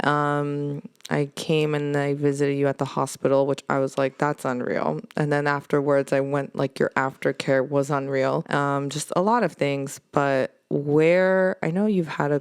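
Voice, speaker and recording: A woman with an Armenian accent speaks fairly slowly, with hardly any pauses, in a very deep, low pitch. Her loudness stays very even and her intonation fairly even. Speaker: podcast host. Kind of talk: casual interview chat. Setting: basement studio at a cathedral.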